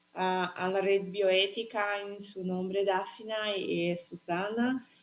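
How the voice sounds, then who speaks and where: Here a woman speaks with a Portuguese accent at a medium pitch. Her pace is very slow. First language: Portuguese (speaking Spanish). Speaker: bioethics professor. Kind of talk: academic presentation. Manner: halting, hesitant.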